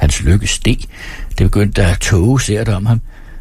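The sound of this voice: The clip features an unforced reading voice.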